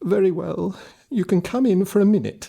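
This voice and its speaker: The speaker puts on a character voice. It sits at a middle pitch and moves at a moderate pace. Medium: read story.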